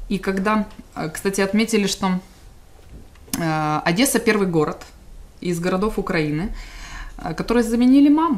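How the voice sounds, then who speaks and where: A woman speaks with lively intonation, broken by long, frequent pauses. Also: moderate pace. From Donetsk, Ukraine; Ukraine. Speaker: displaced person and volunteer; interviewee. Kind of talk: interview. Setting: studio. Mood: warm, smiling. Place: studio.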